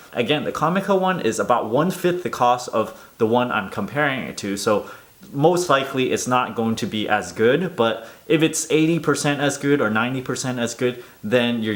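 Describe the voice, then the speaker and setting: Here a man speaks at a fairly quick pace with hardly any pauses. His medium-pitched voice has lively intonation. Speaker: tech reviewer. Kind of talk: product review. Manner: soft-spoken.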